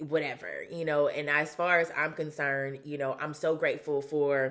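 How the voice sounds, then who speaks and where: Her pitch very deep and low, a woman with a Southern US accent speaks at a moderate pace in a monotone, flat intonation. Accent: Southern US, country twang. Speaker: vlogger, former sports reporter and model. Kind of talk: casual personal vlog. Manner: casual with frequent fillers.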